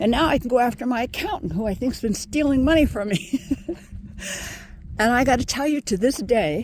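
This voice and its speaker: Over noticeable background noise, a woman talks at a fairly quick pace in a high pitch with lively intonation and long, frequent pauses. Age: 70s. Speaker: former professor and meditation teacher. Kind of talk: casual vlog monologue. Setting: outdoors on a walk.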